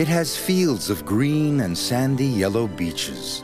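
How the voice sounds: The speaker has a natural reading voice with lively intonation.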